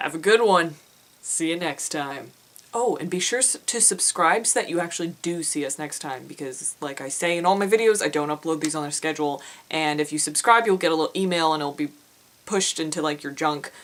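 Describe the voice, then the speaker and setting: A woman with a very deep, low pitch talks at a fairly quick pace with ordinary pitch variation. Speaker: indie author and vlogger. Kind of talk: casual vlog. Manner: animated.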